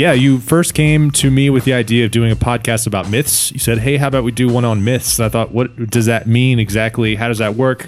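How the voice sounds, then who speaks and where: A man with an unremarkable speaking voice talks at a fairly quick pace and medium pitch, with fairly even intonation, very even loudness and hardly any pauses. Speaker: podcast host. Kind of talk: casual chat. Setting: lives in China.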